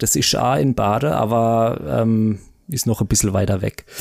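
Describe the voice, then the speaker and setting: A man is heard here. His delivery moves at a fairly slow pace. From Baden, southwest Germany. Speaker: marketing manager. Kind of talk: casual chat.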